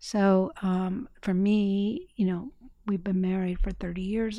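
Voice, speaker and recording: A woman with an American accent speaks at a fairly slow pace in a dark, mellow tone. The recording is very clean, with a silent background. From northern Indiana. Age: 60s. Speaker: public radio station manager. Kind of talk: radio interview. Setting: radio studio.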